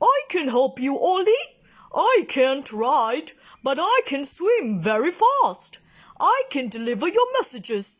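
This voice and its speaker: Using a put-on character voice, the speaker talks at a fairly slow pace in a high pitch. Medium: read story.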